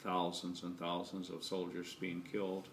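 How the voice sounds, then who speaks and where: A man with an American accent speaks in a very deep, low voice and a flat monotone, with audible echo from the room. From California. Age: 60s. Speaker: grandparent interviewee. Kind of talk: family history interview. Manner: hesitant, many fillers.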